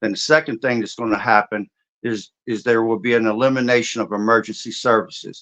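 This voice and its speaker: A man speaks at a fairly quick pace in an unremarkable speaking voice. His medium pitch keeps a fairly even intonation. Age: 60s. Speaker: martial artist and preparedness expert. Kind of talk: interview discussion.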